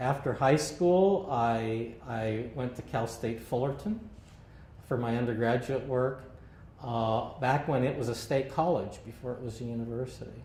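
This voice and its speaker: Audible room echo surrounds this man's voice. He speaks at a medium pitch. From Southern California, Santa Ana. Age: 60s. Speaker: longtime local resident. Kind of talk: oral history interview. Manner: halting, many fillers.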